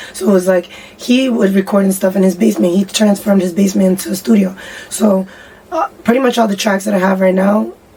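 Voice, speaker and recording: A woman's medium-pitched voice with an American accent, fairly quick, with ordinary pitch variation, over noticeable background noise. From Boston area, Massachusetts (Somerville/Cambridge). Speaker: singer and rapper. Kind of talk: interview.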